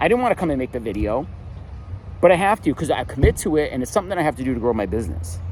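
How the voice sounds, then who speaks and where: Talking at a very fast pace, a man uses a fairly high pitch with very wide pitch swings. Noticeable background noise runs behind him. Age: 40s. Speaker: motivational vlogger, single dad. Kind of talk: motivational monologue. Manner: animated.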